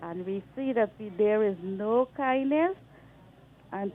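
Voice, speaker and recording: A woman with a Guyanese accent at fairly high pitch and a very slow pace, with lively intonation. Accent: Guyanese Creole-inflected. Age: 60s. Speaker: caller. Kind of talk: radio call-in complaint. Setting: phone call.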